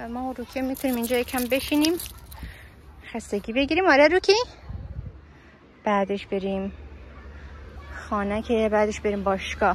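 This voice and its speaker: A woman talks at a fairly quick pace with a fairly high pitch. Her intonation is lively, broken by long, frequent pauses. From Afghanistan. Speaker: travel vlogger. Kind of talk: vlog, casual walk-and-talk. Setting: outdoors in a park. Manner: fast.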